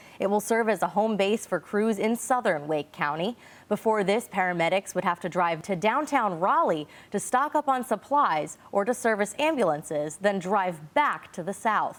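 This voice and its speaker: Her intonation lively, a woman with a normal speaking voice talks at a medium pitch and a moderate pace. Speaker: TV news anchor. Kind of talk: local TV news anchoring.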